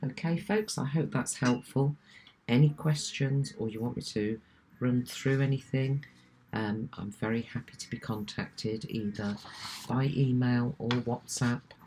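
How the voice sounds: Extremely low in pitch, a woman speaks at a fairly slow pace with a dark, mellow tone and a slightly husky edge. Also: ordinary pitch variation.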